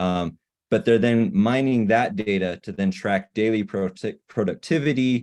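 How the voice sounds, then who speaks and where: A man talks at a moderate pace and a medium pitch with ordinary pitch variation. The background is quiet. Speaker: rehab therapy manager presenting. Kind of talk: webinar presentation. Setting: online webinar. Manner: animated, halting with repetitions.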